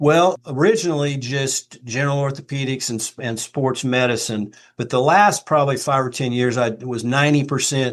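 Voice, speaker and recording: A man at a moderate pace, medium pitch, ordinary pitch variation, a normal speaking voice. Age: 60s. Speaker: retired orthopedic surgeon and expert witness. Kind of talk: podcast interview. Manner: conversational, with fillers.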